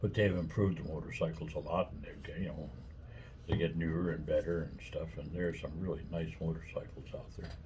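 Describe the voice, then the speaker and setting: The speech is fairly quick, with audible room echo. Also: man. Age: 70s. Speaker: vlogger. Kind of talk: casual chat. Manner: rambling with fillers.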